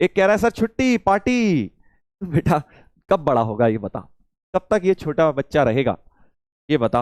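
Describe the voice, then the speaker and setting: Animated and full of very wide pitch swings, a man talks at a fairly high pitch in a dry, close recording with no echo. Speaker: online maths teacher. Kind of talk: live online lecture. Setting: live stream class. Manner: soft-spoken.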